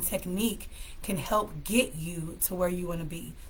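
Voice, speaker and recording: Speaking at a moderate pace, a woman with an American accent and a medium pitch sounds somewhat breathy, with big swings in loudness. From California. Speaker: live stream host, mental health speaker. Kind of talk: casual live stream talk with tips. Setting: live stream.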